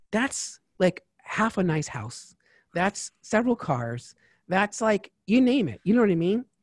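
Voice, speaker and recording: With an American accent, a man talks at a fairly slow pace in an animated tone, his high voice making very wide pitch swings in a dry, close sound with no echo. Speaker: tax advisor. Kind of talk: interview.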